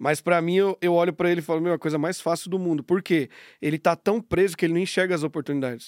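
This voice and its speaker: On a very clean, dry, close recording with a silent background and no echo, a man talks at a fairly quick pace in an unremarkable speaking voice with a fairly high pitch. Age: 30s. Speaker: business owner. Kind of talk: casual interview.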